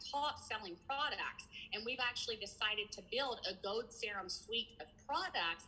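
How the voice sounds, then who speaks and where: This speaker talks at a moderate pace with lively intonation in a Kentucky accent. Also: woman. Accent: Southern US, Kentucky. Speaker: skincare entrepreneur. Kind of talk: interview answer. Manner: blunt, casual.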